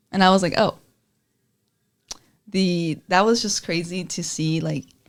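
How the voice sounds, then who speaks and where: Someone speaks at a moderate pace in a Spanish accent. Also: woman. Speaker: student journalist, podcast host. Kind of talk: casual chat.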